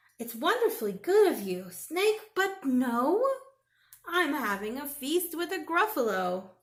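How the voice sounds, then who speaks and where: A woman puts on a character voice, high in pitch, with very wide pitch swings and a fairly slow pace. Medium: read story.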